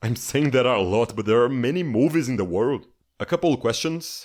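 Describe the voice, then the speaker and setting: This is a very clean recording with a silent background. A man speaks at a medium pitch with vocal fry. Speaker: film critic youtuber. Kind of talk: q&a answering viewer questions.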